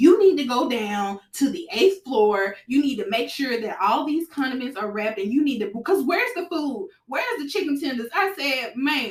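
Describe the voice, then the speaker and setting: A woman speaks loudly in a high voice with very wide pitch swings. She keeps a moderate pace with hardly any pauses. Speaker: podcast host. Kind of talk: casual chat. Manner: loud, direct; animated.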